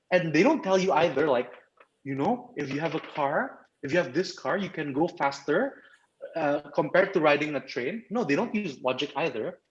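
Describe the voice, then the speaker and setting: A man with an Indonesian accent speaks in a fairly high pitch. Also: lively intonation. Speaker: club trainer. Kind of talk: training presentation. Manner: fast; animated.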